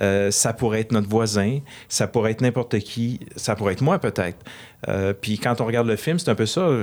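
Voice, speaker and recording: An unremarkable speaking voice from a man, medium in pitch, fairly quick and very even in loudness. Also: ordinary pitch variation. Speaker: film director. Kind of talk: interview.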